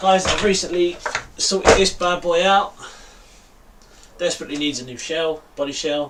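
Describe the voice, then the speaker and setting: A man's high-pitched voice at a moderate pace, with ordinary pitch variation, big swings in loudness, long and frequent pauses, and noticeable background noise. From East London, England. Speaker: RC hobby YouTuber. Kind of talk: live stream chat. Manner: casual, filler-heavy.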